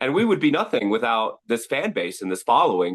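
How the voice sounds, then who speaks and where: A man speaks loudly and at a fairly quick pace in an energetic tone, with a dry, close sound, no echo and a quiet background. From Sacramento, California. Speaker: professional heckler and content creator. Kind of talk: podcast interview.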